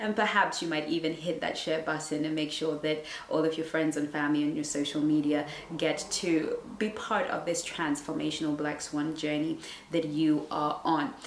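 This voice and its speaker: With a very deep, low pitch, a woman talks in fairly even intonation over light background noise, and room echo is audible. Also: moderate pace. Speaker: relationship coach. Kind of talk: casual vlog chat. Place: home room.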